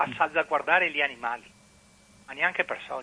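A man talks at a fairly quick pace. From Venice. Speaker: caller. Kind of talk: radio call-in comment. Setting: phone call.

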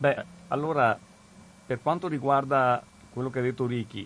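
A man's voice with fairly even intonation. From Veneto, province of Treviso. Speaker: regional councillor, radio guest presenter. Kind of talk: radio talk and call-in discussion. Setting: radio studio. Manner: hesitant, many fillers.

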